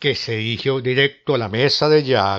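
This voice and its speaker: A man with a dramatic tone speaks at a fairly slow pace in a medium pitch, with ordinary pitch variation. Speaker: storyteller narrator. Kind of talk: ghost story telling, scripted narration of a legend. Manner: dramatic, suspenseful, acting out the devil and Jack in different tones.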